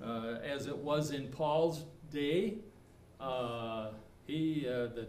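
A man speaks with ordinary pitch variation. There is audible room echo. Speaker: preacher. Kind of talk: sermon. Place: church. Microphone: camera far.

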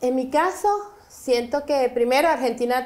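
A woman with an ordinary speaking voice, at a moderate pace, with ordinary pitch variation. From Venezuela, Caracas. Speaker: immigrant business owner; guest. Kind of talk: interview. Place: studio.

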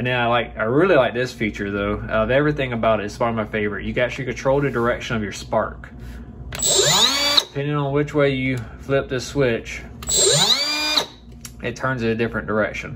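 A man rushes along at a very fast pace, with loud background noise around him. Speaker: automotive mechanic reviewing a tool. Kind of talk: product review. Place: home room. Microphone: phone near.

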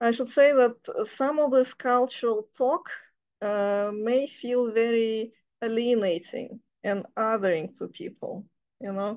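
A woman talks at a fairly slow pace with ordinary pitch variation. The background is quiet. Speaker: reading group member with anthropology background. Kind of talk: group discussion. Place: home room. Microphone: video call.

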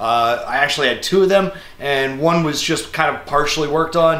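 There is audible room echo as a man talks at a fairly quick pace. His pitch varies an ordinary amount. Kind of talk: casual tutorial to camera. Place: workshop.

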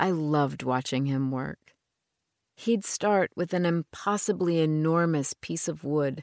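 Here is a woman with an ordinary speaking voice, fairly low in pitch, with ordinary pitch variation at a moderate pace. The recording is very clean with a silent background and a dry, close sound with no echo. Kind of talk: audiobook narration, first-person reading aloud of a novel. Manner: measured, reflective, storytelling pace with a wistful tone.

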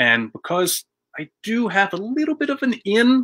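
Over a quiet background, a man talks at a fairly slow pace in a bright, sharp tone. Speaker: web show host. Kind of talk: casual show intro. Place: office. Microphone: webcam.

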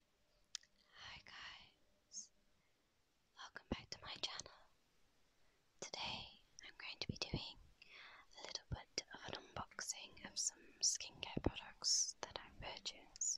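A woman whispering at a very slow pace, with long, frequent pauses. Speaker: ASMR creator. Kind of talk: ASMR unboxing. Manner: whispered. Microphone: handheld.

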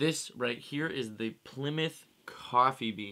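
Against a quiet background, a man speaks with a bright, sharp tone and ordinary pitch variation. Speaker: musician vlogger. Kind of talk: casual vlog chat. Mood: playful, self-mocking. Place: home room. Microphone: studio mic.

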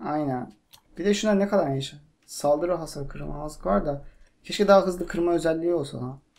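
A man's fairly high voice, fairly quick in pace, with ordinary pitch variation. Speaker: gaming youtuber. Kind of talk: casual gameplay chat. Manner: animated. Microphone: cheap microphone, buzzing noise.

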